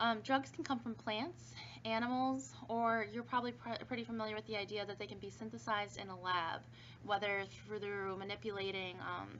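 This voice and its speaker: A woman talks at a medium pitch, her words carrying audible room echo. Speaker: pharmacology instructor. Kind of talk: recorded online lecture. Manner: fast; casual with fillers.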